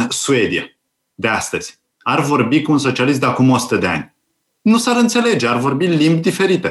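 The speaker moves at a moderate pace. Pitch swings are very wide. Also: man.

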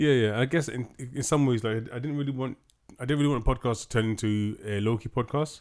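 Speaking very fast, a man keeps a fairly even intonation at a medium pitch. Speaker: podcast host. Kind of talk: casual chat.

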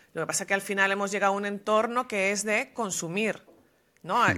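A woman's bright, sharp, medium-pitched voice on a very clean recording with a silent background. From Venezuela. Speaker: podcast host. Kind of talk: interview.

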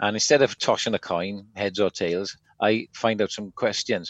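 A man talks in an unremarkable speaking voice, pitched fairly low. His pace is fairly slow. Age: 40s. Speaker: podcast co-host. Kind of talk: casual chat.

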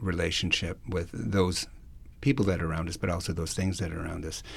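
A man speaks with audible room echo around him. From Alberta, Canada (Cree First Nation). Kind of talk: public talk / lecture. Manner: hesitant, many fillers.

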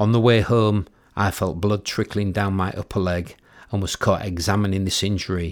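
In an East Yorkshire accent, a man speaks at a moderate pace with a fairly low pitch and a monotone, flat intonation. The recording is very clean, with a silent background. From East Yorkshire, Cottingham near Hull. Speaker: memoir author narrating own book. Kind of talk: audiobook reading of a memoir.

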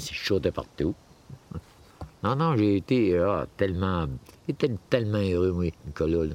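A man with a very deep, low pitch and ordinary pitch variation, at a very slow pace, with a Quebec accent. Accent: Québécois French. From Normétal, Abitibi, Quebec. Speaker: family member interviewee. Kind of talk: casual chat.

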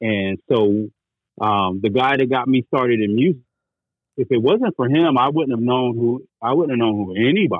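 A man with an American accent uses a normal speaking voice at a medium pitch and moderate pace, with ordinary pitch variation. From North Carolina (military brat, grew up partly in Germany). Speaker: podcast host appearing as guest. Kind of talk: casual chat.

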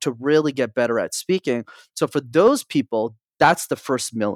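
In a plain, everyday voice, a man with a Canadian accent talks at a fairly quick pace and medium pitch, with ordinary pitch variation and a dry, close sound with no echo. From Montreal, Canada. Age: 20s. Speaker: public speaking coach. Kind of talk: interview.

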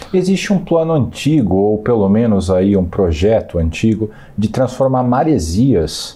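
With lively intonation, a man speaks in a fairly low, somewhat breathy voice with a dark, mellow tone. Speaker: journalist interviewer. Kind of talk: interview; scripted announcement. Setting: studio.

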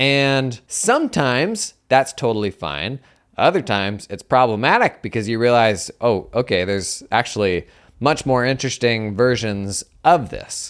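A man speaks in a normal speaking voice at a medium pitch, with lively intonation. The recording is very clean, with a silent background. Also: moderate pace. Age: 30s. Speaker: accounting podcast host. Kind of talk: casual solo monologue.

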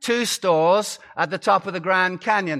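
In an American accent, a man uses a raised, projected voice with a bright, sharp tone and ordinary pitch variation. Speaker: guest preacher, pastor. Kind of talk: sermon. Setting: church pulpit before congregation.

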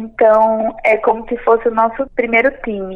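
A woman speaks at a moderate pace. She has a normal speaking voice. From Pernambuco, Brazil (Recife area). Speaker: entrepreneur and journalist. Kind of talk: interview.

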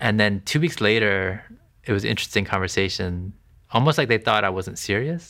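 A man with an American accent and a fairly low pitch, bright, sharp tone and lively intonation, at a fairly quick pace on a very clean recording with a silent background. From US, Maryland area. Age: 40s. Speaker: interviewee sharing faith story. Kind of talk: testimony. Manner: halting.

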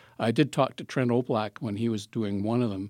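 An unremarkable speaking voice from a man, medium in pitch, at a moderate pace with fairly even intonation, in a dry, close sound with no echo on a very clean recording with a silent background. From southern Ontario, Canada. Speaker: retired film professor and program coordinator. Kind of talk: casual interview.

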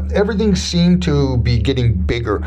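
A man with a Canadian accent at a moderate pace, music in the background. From Winnipeg, Canada. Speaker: radio host. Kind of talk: interview.

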